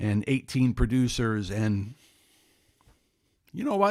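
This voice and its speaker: This man has a medium pitch. The recording is very clean, with a silent background. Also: dry, close sound with no echo. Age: 60s. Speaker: music recommendation vlogger. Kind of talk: casual monologue. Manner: conversational, with fillers.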